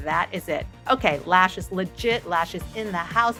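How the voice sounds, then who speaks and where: Music plays in the background as a woman speaks in an upbeat tone at a medium pitch. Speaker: beauty vlogger. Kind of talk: makeup tutorial talk to camera. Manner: upbeat, chatty.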